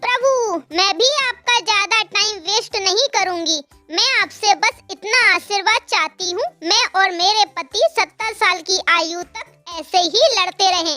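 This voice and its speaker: A cartoonish character voice from a woman, extremely high-pitched with ordinary pitch variation, at a fairly slow pace with hardly any pauses, over faint music in the background. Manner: insistent, dramatic.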